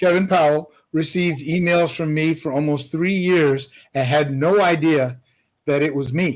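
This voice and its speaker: Fairly even intonation from a man, at a moderate pace. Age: 60s. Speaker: musician. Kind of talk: casual chat. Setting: livestream panel.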